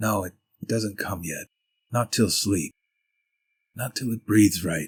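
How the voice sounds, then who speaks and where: A man puts on a character voice, speaking at a fairly slow pace with a fairly low pitch. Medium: read story.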